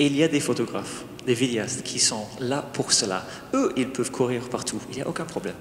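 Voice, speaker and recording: A man with an English accent at a moderate pace, ordinary pitch variation, and audible room echo. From England. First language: English (speaking French). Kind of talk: wedding homily and liturgy. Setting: church wedding with congregation, microphones.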